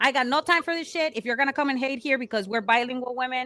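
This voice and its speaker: In a Mexican accent, a woman with a high pitch and a bright, sharp tone talks at a very fast pace with ordinary pitch variation. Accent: Mexican Spanish accent in English, noticeable. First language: Spanish. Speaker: podcast co-host, pro wrestler. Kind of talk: casual chat. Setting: live stream. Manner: code-switching between English and Spanish; halting, searching for words.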